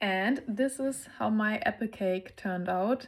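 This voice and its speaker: In a German accent, a woman speaks at a fairly slow pace with a fairly high pitch, in a very clean recording with a silent background. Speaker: lifestyle vlogger. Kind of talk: casual vlog narration.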